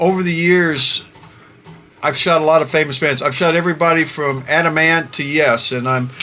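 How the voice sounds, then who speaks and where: With long, frequent pauses, a man with a fairly high pitch speaks at a moderate pace and fairly even intonation over noticeable background noise. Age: 60s. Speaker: concert photographer and YouTuber. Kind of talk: casual vlog monologue. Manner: halting, many fillers.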